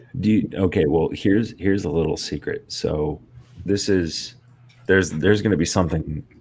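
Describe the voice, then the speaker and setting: A man speaks quietly at a moderate pace, his very deep, low voice showing ordinary pitch variation. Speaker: streamer host. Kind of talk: casual chat. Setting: home office, live stream panel.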